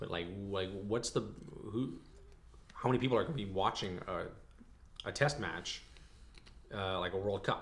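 Background noise is noticeable as a man speaks in a fairly low voice. He makes long, frequent pauses. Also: ordinary pitch variation, moderate pace. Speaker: podcast co-host.

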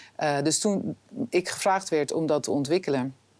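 This voice has ordinary pitch variation on a very clean recording with a silent background. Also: woman. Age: 50s. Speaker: film director and TV drama executive. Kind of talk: interview. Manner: hesitant, many filler sounds.

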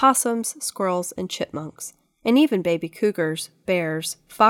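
A natural reading voice carries the clip. Behind it, the background is quiet.

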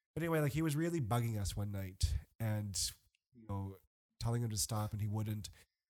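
A man with an American accent speaks at a fairly quick pace in a fairly low pitch, his intonation lively, with music playing in the background. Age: 30s. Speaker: guest. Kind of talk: casual chat. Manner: animated.

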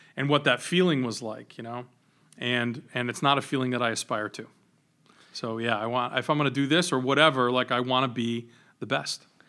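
On a very clean recording with a silent background, a man with an American accent and a normal speaking voice speaks at a fairly quick pace, his medium-pitched voice fairly even in intonation. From Rhode Island, US (Johnston). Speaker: venture capitalist. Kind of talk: casual interview.

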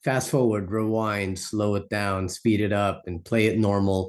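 Against a quiet background, a man with a normal speaking voice speaks at a fairly low pitch. His pace is moderate. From Philippines, raised in US from childhood. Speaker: performance poet. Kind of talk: interview.

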